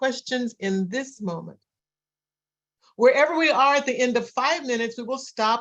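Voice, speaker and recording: This woman talks with a fairly high pitch and ordinary pitch variation. Her pace is moderate. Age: 60s. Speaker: pastor. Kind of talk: interfaith dialogue Q&A. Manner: conversational.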